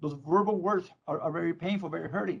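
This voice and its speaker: A man's fairly high voice in a Spanish accent, very fast, with ordinary pitch variation. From Mexico, Tijuana. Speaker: probation department leader. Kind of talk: public meeting remarks. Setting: virtual meeting. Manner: halting.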